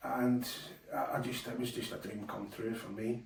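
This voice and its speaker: A man with a Scottish accent speaks at medium pitch. Noticeable background noise and audible room echo surround him. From Scotland. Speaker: darts player and presenter. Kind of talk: casual monologue. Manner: hesitant, many fillers.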